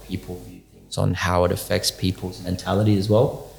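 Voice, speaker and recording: With music in the background, a man speaks in an Australian accent at a very deep, low pitch. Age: 20s. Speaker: podcast guest. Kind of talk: casual chat.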